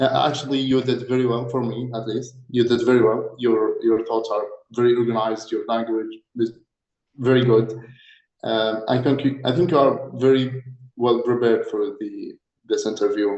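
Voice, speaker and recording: Here a man speaks with an Arabic accent at a moderate pace. His medium pitch stays in a monotone, flat intonation. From Egypt. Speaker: doctor, mock interviewer. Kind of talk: mock job interview.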